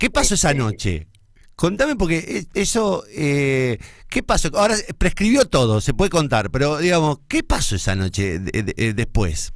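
A man with a Santa Fe accent speaks at a moderate pace. His fairly high pitch swings very widely. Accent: Argentine Spanish (rioplatense, Santa Fe). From Argentina, Santa Fe. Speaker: radio host. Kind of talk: casual interview.

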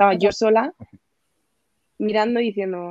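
Recorded dry and close with no echo, a woman speaks fairly slowly in a normal speaking voice with fairly even intonation. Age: 20s. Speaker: police exam tutor. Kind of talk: casual chat.

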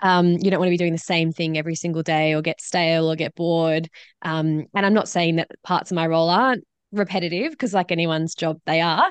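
A woman with a normal speaking voice, fairly low in pitch and fairly quick, in a dry, close sound with no echo against a quiet background. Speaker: social researcher and speaker. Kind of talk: casual interview.

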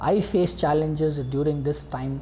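Audible room echo is present in this clip. The voice belongs to a man. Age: young. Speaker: youth facilitator, student. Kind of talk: interview.

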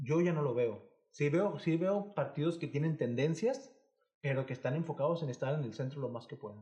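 A somewhat breathy man with a fairly high pitch and a dark, mellow tone talks at a moderate pace with ordinary pitch variation. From Mexico, Monterrey area (Nuevo León). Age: 20s. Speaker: podcast co-host. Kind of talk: casual chat.

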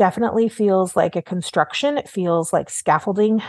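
Recorded dry and close with no echo against a quiet background, a woman with an American accent has an unremarkable speaking voice at a medium pitch with ordinary pitch variation. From Oklahoma, US. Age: 40s. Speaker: art market journalist. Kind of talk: interview conversation.

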